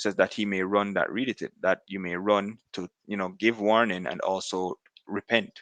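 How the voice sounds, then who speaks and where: A man speaks in a fairly low pitch with monotone, flat intonation. The sound is dry and close, with no echo. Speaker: religious commentator. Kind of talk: religious commentary. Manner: fast; halting, many fillers.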